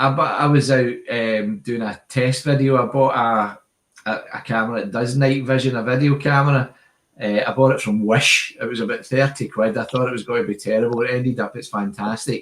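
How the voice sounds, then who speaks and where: Speaking with a strong Glasgow accent, a man keeps his intonation fairly even. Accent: Glasgow Scottish, strong. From Scotland, Glasgow area. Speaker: airgun channel host. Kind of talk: live stream chat. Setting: video call live stream. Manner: casual, chatty.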